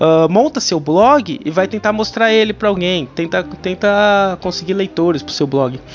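Music plays behind a man speaking. His pitch is high and his intonation is lively. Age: 30s. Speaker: podcast host and writer. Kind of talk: casual monologue. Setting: home. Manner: animated.

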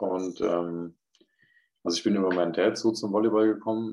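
This man talks at a moderate pace in a fairly low, monotone voice with flat intonation. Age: 20s. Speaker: professional volleyball player. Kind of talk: casual interview.

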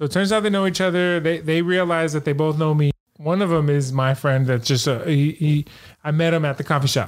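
At a fairly quick pace, this is a normal speaking voice with very even loudness and fairly even intonation. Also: man, fairly high pitch for a man. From San Francisco, California. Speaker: coffee shop owner. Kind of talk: casual chat.

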